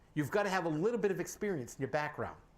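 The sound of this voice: This man talks at a very fast pace, his fairly high pitch carried by lively intonation.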